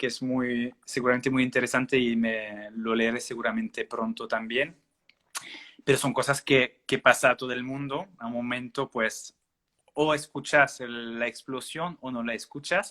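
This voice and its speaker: Fairly slow, fairly even speech from a man at medium pitch with a French accent, in a dry, close sound with no echo. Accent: French-speaking accent in Spanish. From Belgium. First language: French (speaking Spanish). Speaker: naturopath. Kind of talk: interview. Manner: halting, many fillers.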